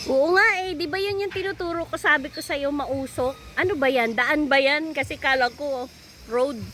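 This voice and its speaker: Projecting a raised voice at a high pitch, a woman talks at a moderate pace with ordinary pitch variation over noticeable background noise. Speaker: vlogger. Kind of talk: casual chat. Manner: loud.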